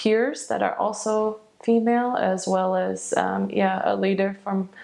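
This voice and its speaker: A fairly slow pace in a Midwestern accent. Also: woman. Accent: American Midwest. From Michigan, USA. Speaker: optometrist and education manager. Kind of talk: interview answer.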